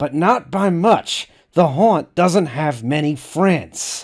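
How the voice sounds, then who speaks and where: A put-on character voice speaks at a very slow pace. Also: man, high pitch for a man. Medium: read story. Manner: calm, businesslike.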